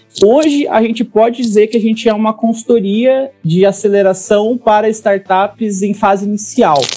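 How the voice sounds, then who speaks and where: Over noticeable background noise, a man speaks at a high pitch with fairly even intonation and hardly any pauses. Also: moderate pace. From Brazil, interior of Paraná. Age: 30s. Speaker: startup consultant. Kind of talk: interview.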